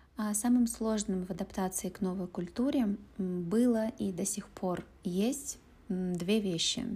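A woman's somewhat breathy voice, dark and mellow in tone, at a medium pitch with ordinary pitch variation and a very slow pace. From Russia, Urals (Pervouralsk, Yekaterinburg). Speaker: Russian language teacher. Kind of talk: interview. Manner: slow, clear speech for learners.

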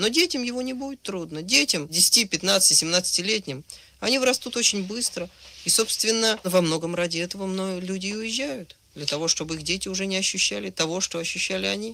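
At a moderate pace, a man with a high pitch speaks in a raised, projected voice with ordinary pitch variation. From Soviet Union, Moscow. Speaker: writer and screenwriter, recent emigrant. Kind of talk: radio interview.

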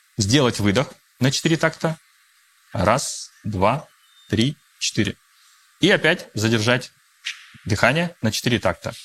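A man's medium-pitched voice with lively intonation and very even loudness, at a very slow pace broken by long, frequent pauses. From Russia. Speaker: coach and mediator. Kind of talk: guided breathing exercise; interview. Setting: studio with live audience.

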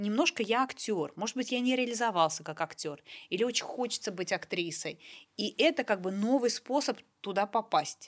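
A woman with an unremarkable speaking voice talks at a moderate pace in a fairly high pitch, her intonation lively, in a very clean recording with a silent background. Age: 40s. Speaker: podcast host. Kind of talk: casual chat.

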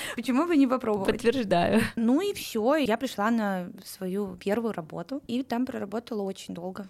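With a plain, everyday voice, a woman talks at a moderate pace in a fairly high pitch, with ordinary pitch variation and hardly any pauses. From Russia, Saint Petersburg. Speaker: recruitment manager. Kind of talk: interview.

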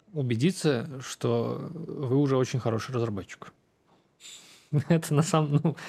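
A fairly high-pitched man speaks at a fairly slow pace, his tone dark and mellow. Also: ordinary pitch variation. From Russia, Samara. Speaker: tech executive. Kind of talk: interview.

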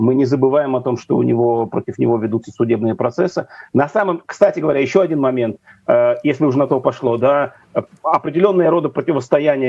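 The clip features an unremarkable speaking voice with ordinary pitch variation. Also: man. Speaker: news editor. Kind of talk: interview. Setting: video call.

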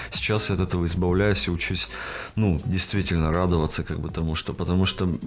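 Through noticeable background noise, a man with a very deep, low pitch speaks at a very fast pace. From Russia, Perm Krai. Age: 20s. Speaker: tattoo artist. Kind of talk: casual chat. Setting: studio.

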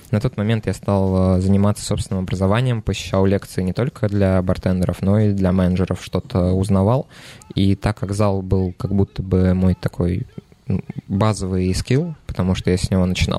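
The speech moves at a moderate pace with fairly even intonation and very even loudness, the sound dry and close with no echo. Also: man, very deep, low pitch for a man. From Nizhny Novgorod, Russia. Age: 20s. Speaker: bar manager. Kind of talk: casual chat.

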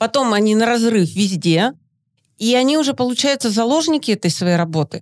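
A woman with a plain, everyday voice, fairly high pitch and lively intonation, in a dry, close sound with no echo. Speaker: mother and podcast co-host. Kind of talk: casual chat.

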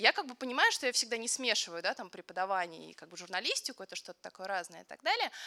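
A woman's very fast, medium-pitched speech with hardly any pauses, ordinary pitch variation and big swings in loudness, dry and close with no echo, over noticeable background noise. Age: 20s. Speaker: photojournalist. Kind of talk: panel discussion.

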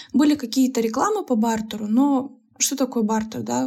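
Speech moves at a fairly quick pace with ordinary pitch variation. The tone is dark and mellow. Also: woman. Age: 20s. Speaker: podcast host, entrepreneur and blogger. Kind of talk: solo podcast monologue.

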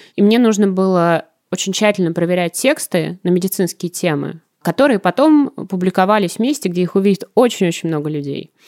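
With a dry, close sound and no echo, a woman talks at a fairly quick pace in a medium pitch, an unremarkable speaking voice. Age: 20s. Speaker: TV editor. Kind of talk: casual chat.

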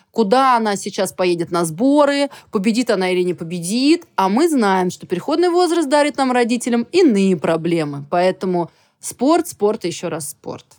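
A woman with a medium pitch swings her voice very widely up and down while keeping a moderate pace. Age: 40s. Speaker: equestrian sport official. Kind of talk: casual chat.

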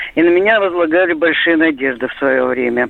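Lively intonation marks this woman's normal speaking voice, which sits at a fairly low pitch and moves at a moderate pace. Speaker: caller. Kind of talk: phone-in call. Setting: phone call.

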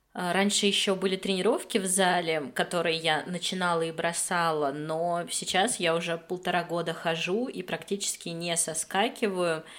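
A woman speaks in a normal speaking voice with a fairly low pitch and fairly even intonation. She keeps a moderate pace with hardly any pauses. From Moscow, Russia. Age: 30s. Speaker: podcast co-host, tutor. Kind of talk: casual chat.

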